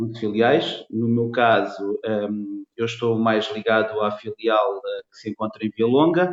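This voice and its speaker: A man speaks at a fairly slow pace with a medium pitch and hardly any pauses. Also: ordinary pitch variation. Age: 40s. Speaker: construction materials salesman. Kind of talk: interview. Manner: hesitant with many fillers.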